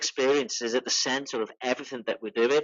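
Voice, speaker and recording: A man speaks at a medium pitch. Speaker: digital marketing speaker. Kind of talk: webinar talk. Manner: animated.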